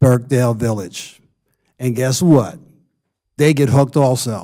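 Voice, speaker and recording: A man's dark, mellow voice at a medium pitch, with ordinary pitch variation and a very slow pace. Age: 70s. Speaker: town commissioner. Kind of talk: council meeting remarks. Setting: town board meeting on dais.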